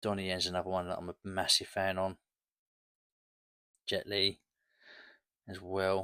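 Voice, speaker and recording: Very deep and low, a man's voice has a bright, sharp tone and flat, monotone intonation, moving at a moderate pace with long, frequent pauses in a very clean recording with a silent background. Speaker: collector YouTuber. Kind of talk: casual show-and-tell video. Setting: at home, late at night. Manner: hushed, quiet.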